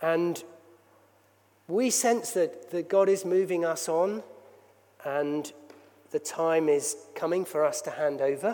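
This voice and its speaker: A man with a high pitch speaks at a very slow pace, with ordinary pitch variation. Long, frequent pauses break up his words while music plays in the background. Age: 60s. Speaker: church leader. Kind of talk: sermon. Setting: church.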